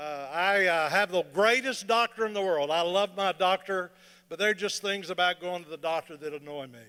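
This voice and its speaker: Very clean and silent in the background, this recording has a man speaking at a fairly quick pace with a high pitch and ordinary pitch variation. His tone is bright and sharp, with big swings in loudness. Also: dry, close sound with no echo. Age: 60s. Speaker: comedian. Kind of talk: stand-up. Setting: stage with audience. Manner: animated.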